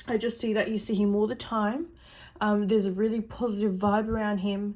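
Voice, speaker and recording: At a moderate pace, a dark, mellow, somewhat breathy voice comes through a very clean recording with a silent background. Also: woman. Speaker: psychic reader. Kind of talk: personal psychic reading.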